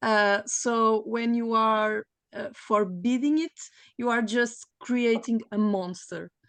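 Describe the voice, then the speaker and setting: Speaking with a Portuguese accent, a woman uses a fairly high pitch and ordinary pitch variation, heard dry and close with no echo against a quiet background. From Portugal. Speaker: panelist. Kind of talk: panel discussion. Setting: video call. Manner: halting.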